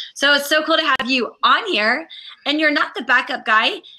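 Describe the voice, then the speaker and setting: A raised, projected voice with an American accent and a bright, sharp tone. It moves at a fairly quick pace. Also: woman. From Ohio. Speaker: talk show host. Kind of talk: casual chat. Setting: live stream.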